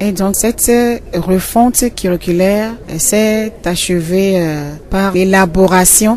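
Over music in the background, a woman speaks very slowly. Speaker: school inspector. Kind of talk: interview.

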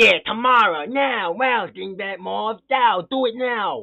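Speaking at a fairly slow pace, this put-on character voice sits at a fairly high pitch. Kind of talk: gruff, shouting. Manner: bossy, impatient.

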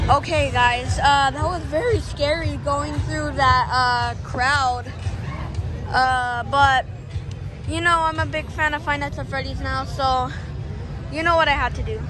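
A woman's voice, dry and echo-free, at a fairly slow pace with long, frequent pauses over clear background music. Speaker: vlogger. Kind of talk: casual vlog chat. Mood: excited, amused. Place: street. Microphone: phone near.

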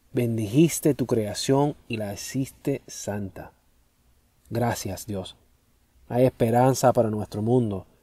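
In a dry, close sound with no echo, a man speaks at a very slow pace with long, frequent pauses, a medium pitch, a dark, mellow tone and ordinary pitch variation. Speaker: prayer leader. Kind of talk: fervent spoken prayer, solemn and devotional, with repeated thanksgiving refrains. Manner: earnest, reverent, measured with a pleading tone.

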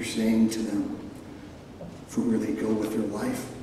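Strong room echo surrounds a man's voice, with light background noise underneath. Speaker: ceremony speaker giving benediction. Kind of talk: closing prayer at graduation ceremony. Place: stage.

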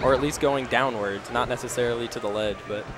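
Noticeable background noise runs beneath a man who talks fairly quickly. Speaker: esports commentator. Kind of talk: live commentary. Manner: animated; conversational, hedging.

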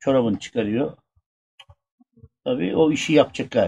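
With light background noise, a man speaks at a moderate pace. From Burdur, Turkey. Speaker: former village headman. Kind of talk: telling a true funny anecdote in a group. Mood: relaxed, humorous. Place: open country. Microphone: camera far.

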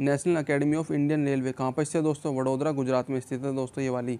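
A man speaks in a fairly high pitch with a dark, mellow tone. His intonation stays monotone and flat. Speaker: online exam-prep teacher. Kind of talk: lecture. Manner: fast; repetitive.

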